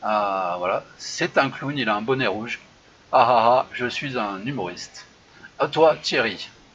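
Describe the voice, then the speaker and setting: Speaking at a very slow pace, a man with a medium pitch uses ordinary pitch variation. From France, Saint-Étienne. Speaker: improv show host. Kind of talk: casual live chat show. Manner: hesitant, many fillers.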